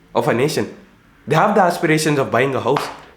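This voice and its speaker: There is audible room echo around this man. He talks at a fairly quick pace with an Indian accent. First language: Hindi. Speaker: entrepreneur and YouTuber. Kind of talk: casual vlog monologue. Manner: animated.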